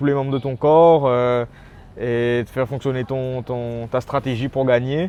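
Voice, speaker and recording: A man with a dark, mellow tone speaks at a fairly slow pace with fairly even intonation. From Réunion. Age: 20s. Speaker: MMA fighter. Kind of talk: interview. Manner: halting, many repetitions.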